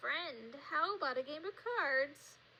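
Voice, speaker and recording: A put-on character voice speaks at a high pitch. The pace is fairly slow. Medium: read story.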